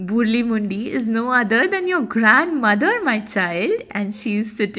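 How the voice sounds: Lively intonation marks this delivery. It comes in a natural reading voice.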